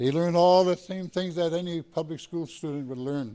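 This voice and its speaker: Speaking at a fairly quick pace, a man has a dark, mellow tone. His pitch varies in an ordinary way. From Great Lakes region, US. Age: 70s. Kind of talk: speech to a gathering.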